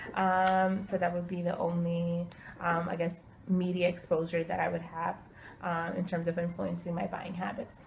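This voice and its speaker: Somewhat breathy, a woman with an American accent speaks at a moderate pace in a fairly low pitch, her intonation flat and monotone. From Ukraine, emigrated to US when younger. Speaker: interviewee. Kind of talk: interview answers. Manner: hesitant, many filler words.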